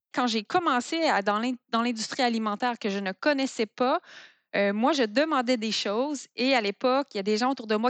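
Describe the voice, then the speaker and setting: A woman with a high pitch and ordinary pitch variation speaks at a fairly quick pace, the sound dry and close with no echo. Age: 40s. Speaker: food entrepreneur. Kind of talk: interview.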